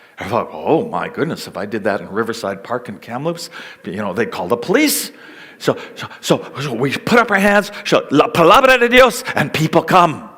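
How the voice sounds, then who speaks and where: Amid noticeable background noise, a man with a Canadian accent speaks at a high pitch and moderate pace, his pitch swinging very widely. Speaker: missionary. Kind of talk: seminar talk.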